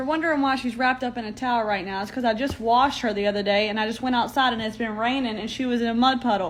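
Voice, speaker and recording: Amid audible room echo, a woman with a fairly high pitch races along at a very fast pace with fairly even intonation and hardly any pauses. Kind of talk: casual chat. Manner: loud.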